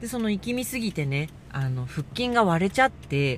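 Loud and with very wide pitch swings, a woman speaks. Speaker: dancer and podcaster. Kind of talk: casual solo monologue podcast. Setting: in a car, driving. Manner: speaking loudly over road noise.

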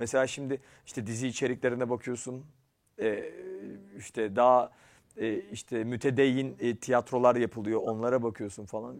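Monotone and flat, a man speaks at a medium pitch. His pace is moderate. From Turkey, Ankara. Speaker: program host and actor. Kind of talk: casual interview chat.

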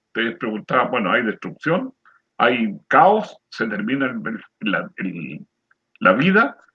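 A man talks at a fairly slow pace with vocal fry. His pitch swings very widely. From Chile, rural area near San Antonio. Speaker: retired lay preacher, program co-host. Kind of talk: religious discussion.

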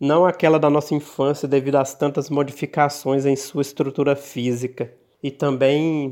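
Speaking fairly slowly in a monotone, flat intonation, a man with a fairly high pitch is heard in a very clean recording with a silent background. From Minas Gerais, Brazil (Bela Vista de Minas). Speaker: writer and poet. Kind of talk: interview with prepared reading.

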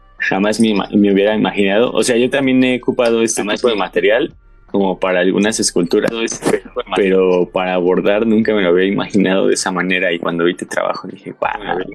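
Music plays behind a man with a Mexican accent and a fairly low pitch. He talks at a fairly quick pace with fairly even intonation. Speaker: podcast co-host. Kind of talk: casual interview.

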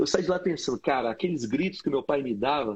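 A man talks with lively intonation. There is a somewhat breathy edge to his voice. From Brazil, Brasília. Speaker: pastor and podcast host. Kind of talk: casual chat. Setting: video call.

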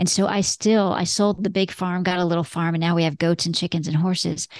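The voice stays monotone with flat intonation, heard dry and close with no echo against a quiet background. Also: woman. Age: 50s. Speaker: lawyer turned law firm business coach and broker. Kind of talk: interview.

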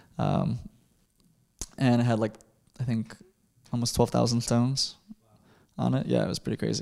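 This man has a Chicago accent, a medium pitch and a dark, mellow tone. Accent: Chicago-area American. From US Midwest, Chicago suburbs. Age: 20s. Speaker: conceptual artist. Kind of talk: interview.

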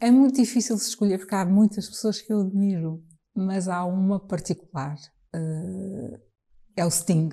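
Her medium-pitched voice is somewhat breathy, with a dark, mellow tone. The woman speaks at a fairly slow pace with ordinary pitch variation. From Trás-os-Montes, Portugal (Bragança). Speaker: jazz singer. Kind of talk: casual chat. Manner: halting.

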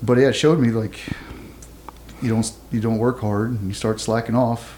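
Against noticeable background noise, a man with a Texan accent talks at a moderate pace and a medium pitch. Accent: Texan (US Southern). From southeast Texas. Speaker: former navy SEAL and military dog handler. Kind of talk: interview, casual storytelling.

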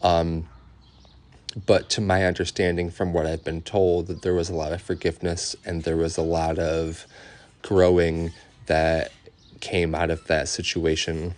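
A man's very deep, low voice, monotone and flat, at a fairly slow pace with long, frequent pauses and a quiet background. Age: 20s. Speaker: podcast host. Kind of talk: personal monologue. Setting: outdoors in backyard. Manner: casual, many fillers.

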